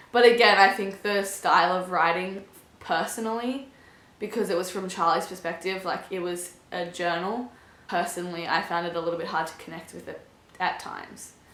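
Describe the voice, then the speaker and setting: A woman's medium-pitched voice with fairly even intonation, audible room echo and noticeable background noise. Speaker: booktuber. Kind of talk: casual book review vlog. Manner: fast.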